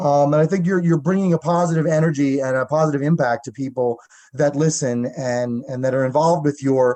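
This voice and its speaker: A fairly high-pitched man with a Long Island accent speaks at a moderate pace. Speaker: radio host. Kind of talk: radio interview. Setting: radio studio.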